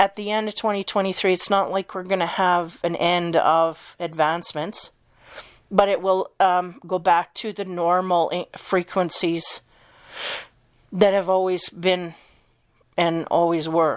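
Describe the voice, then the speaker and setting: A woman at medium pitch talks at a fairly slow pace in a monotone, flat intonation. The recording is very clean, with a silent background. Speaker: tarot reader. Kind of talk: casual spiritual reading talk to camera. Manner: hesitant, many filler words.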